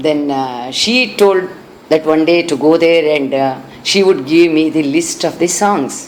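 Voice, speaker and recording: Speaking at a fairly slow pace with a Karnataka accent, a woman has a very deep, low pitch, with noticeable background noise behind her. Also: ordinary pitch variation. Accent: Indian (Kannada) English. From India, Bangalore (Karnataka). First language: Kannada. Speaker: classical singer. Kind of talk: interview. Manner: halting.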